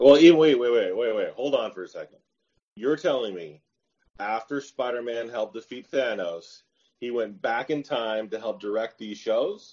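Using a plain, everyday voice, a man speaks at a medium pitch and a moderate pace with big swings in loudness. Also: ordinary pitch variation. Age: 40s. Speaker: podcast guest, paranormal podcast host. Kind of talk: casual chat.

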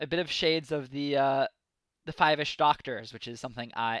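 Recorded very cleanly against a silent background, a man uses a normal speaking voice at a fairly quick pace with ordinary pitch variation. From United States. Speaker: podcast host. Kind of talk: casual chat.

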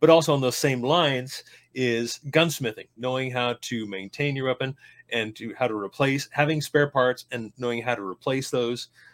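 On a very clean recording with a silent background and a dry, close sound with no echo, a man with an unremarkable speaking voice talks at a moderate pace, medium pitch and fairly even intonation. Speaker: podcast co-host. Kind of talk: casual conversation.

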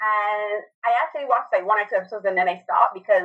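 A woman speaks at a very fast pace. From Barbados. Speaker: film and TV critic, podcaster. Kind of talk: casual chat.

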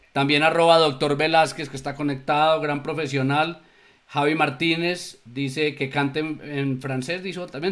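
A man with a fairly high pitch, speaking at a fairly slow pace. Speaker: show co-host. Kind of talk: live talk show. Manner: sing-song intonation.

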